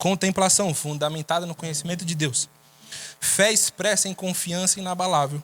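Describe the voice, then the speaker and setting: A man speaks in a high pitch at a moderate pace with ordinary pitch variation. Music plays in the background. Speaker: preacher. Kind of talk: sermon.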